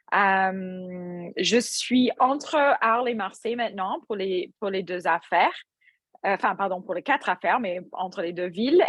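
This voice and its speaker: Over a quiet background, a woman speaks with an English Canadian accent. Her pitch is medium and her pace fairly slow. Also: ordinary pitch variation. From English-speaking Canada. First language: English (speaking French). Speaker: restaurant entrepreneur and yoga teacher. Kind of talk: podcast interview. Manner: hesitant, many fillers.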